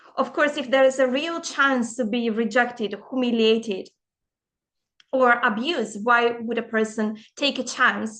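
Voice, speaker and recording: Her voice is high in pitch, with ordinary pitch variation. The woman speaks at a fairly slow pace. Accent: non-native. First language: not English. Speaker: empowerment coach. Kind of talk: casual vlog monologue.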